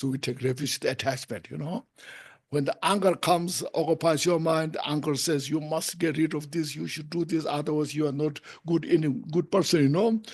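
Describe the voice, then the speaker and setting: Against a quiet background, a man speaks in a Tibetan accent. His pitch is fairly high and his intonation fairly even. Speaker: Buddhist teacher. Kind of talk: dharma teaching. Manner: halting.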